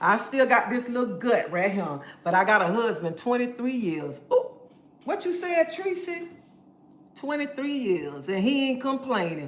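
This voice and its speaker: A woman with a high pitch and very wide pitch swings talks at a moderate pace, with audible room echo and noticeable background noise. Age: 50s. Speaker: live streamer. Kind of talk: casual livestream chat, reading comments. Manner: animated.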